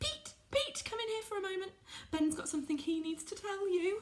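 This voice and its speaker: Squeaky and extremely high-pitched, a woman performs a put-on character voice at a moderate pace. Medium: read story. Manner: melodramatic.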